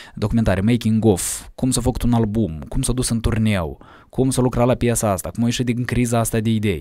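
A man's medium-pitched, dark, mellow voice at a fairly quick pace, with ordinary pitch variation, very even loudness and a quiet background. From Moldova, Cahul; Moldova. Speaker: musician; podcast guest. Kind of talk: casual interview. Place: studio. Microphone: studio mic.

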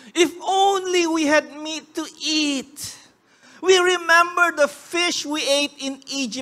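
Putting on a whiny character voice, a woman speaks at an extremely high pitch and a very slow pace, with ordinary pitch variation. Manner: complaining, wailing.

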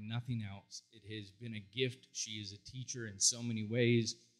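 A man's bright, sharp tone in a flat monotone, at a moderate pace. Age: 40s. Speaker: psychologist and counselor. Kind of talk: conference talk. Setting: stage with audience. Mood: heartfelt, emotional storytelling. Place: stage. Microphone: handheld.

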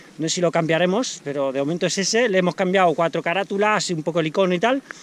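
A man speaks at a fairly quick pace. The sound is dry, with no echo. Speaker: sports channel vlogger. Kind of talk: casual vlog chat. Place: open country. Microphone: phone near.

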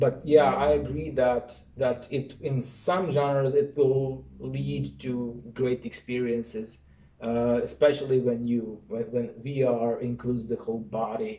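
A man's fairly slow, dark, mellow voice with a Serbian accent, somewhat breathy, with ordinary pitch variation. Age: 30s. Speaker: university professor; lecturer answering questions. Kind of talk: lecture. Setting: stage with audience. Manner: halting. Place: home room.

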